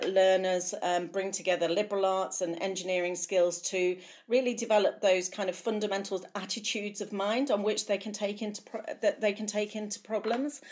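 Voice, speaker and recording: At a moderate pace and medium pitch with ordinary variation, a woman speaks in a plain, everyday voice, captured in a very clean recording with a silent background. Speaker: university academic officer. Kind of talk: interview.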